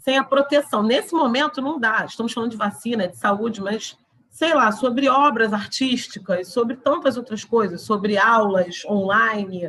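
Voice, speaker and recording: A woman with an unremarkable speaking voice talks at a moderate pace, her pitch fairly high. Her pitch varies in an ordinary way, and she hardly pauses at all. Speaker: law lecturer. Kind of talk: lecture.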